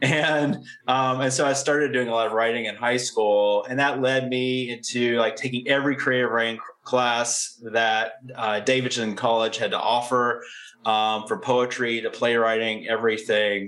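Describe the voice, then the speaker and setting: A man speaks with an American accent and fairly even intonation. There is noticeable background noise behind him. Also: medium pitch for a man, moderate pace. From southwestern Virginia, US. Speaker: crime novelist and writing professor. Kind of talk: interview conversation.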